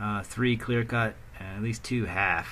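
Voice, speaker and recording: A man with an American accent talks at a medium speed. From United States. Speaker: video game streamer. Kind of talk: gameplay commentary. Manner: halting, many fillers; casual.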